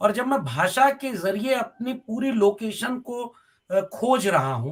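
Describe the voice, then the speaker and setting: A man talks with a Bihari accent at an extremely high pitch. His intonation is lively. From Bhojpuri belt of north India. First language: Bhojpuri (speaking Hindi). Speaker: university professor. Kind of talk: TV panel debate.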